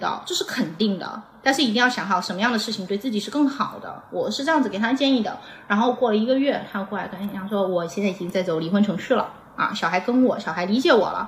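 A woman's fairly high voice, very fast and lively in intonation, over noticeable background noise. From Xiamen, southern Fujian (Minnan). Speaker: former adult products industry worker. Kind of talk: casual chat.

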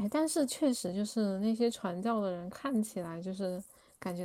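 Recorded very cleanly against a silent background, a woman speaks at a moderate pace with a medium pitch and a dark, mellow tone. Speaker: student abroad. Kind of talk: casual chat.

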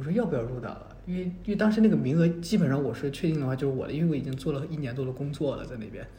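Over noticeable background noise, a man with a fairly high pitch races at a very fast pace with hardly any pauses, lively intonation and big swings in loudness. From mainland China. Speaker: graduate student. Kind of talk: casual chat. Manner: halting, many fillers.

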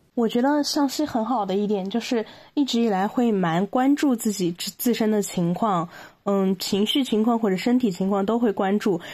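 Very cleanly recorded against a silent background, a woman with a fairly high pitch and a dark, mellow tone talks at a moderate pace, with ordinary pitch variation and very even loudness. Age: 20s. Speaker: podcast guest sharing mental health experience. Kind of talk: personal testimony in interview. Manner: halting, many fillers.

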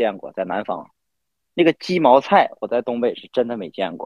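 A man speaks at a moderate pace with a northeastern Chinese accent. His pitch swings very widely. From Northeast China. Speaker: podcast guest. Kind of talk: casual chat.

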